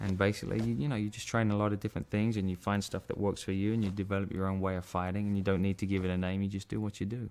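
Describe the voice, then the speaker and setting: Monotone, flat speech in an English accent at a very fast pace with hardly any pauses. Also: man, fairly low pitch for a man. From England. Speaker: martial arts film actor. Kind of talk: interview. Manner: casual, conversational with fillers.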